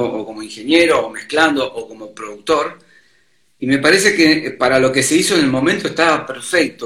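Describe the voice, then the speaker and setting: A man's plain, everyday voice, fairly high in pitch, with ordinary pitch variation. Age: 50s. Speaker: sound engineer and bassist. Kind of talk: casual chat.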